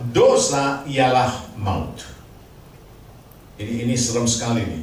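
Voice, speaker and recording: A man with a medium-pitched voice speaks with long, frequent pauses, over noticeable background noise and audible room echo. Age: 70s. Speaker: guest preacher, trainer and consultant. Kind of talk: sermon. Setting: church service with congregation.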